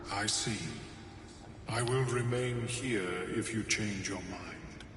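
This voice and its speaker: Over loud background noise and a clear echo, a man puts on a character voice at a medium pitch and a fairly slow pace. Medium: video game. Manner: calm, precise.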